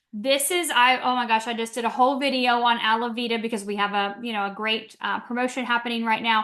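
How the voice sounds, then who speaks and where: Bright and sharp in tone, a woman speaks at a fairly high pitch. She goes at a very fast pace. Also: hardly any pauses. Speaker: wellness product presenter. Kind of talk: product overview webinar. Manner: animated.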